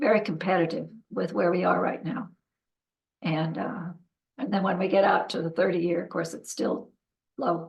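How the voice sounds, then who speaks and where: A woman speaks at a medium pitch. Vocal fry runs through her voice. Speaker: county treasurer. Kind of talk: public meeting presentation. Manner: halting, many fillers.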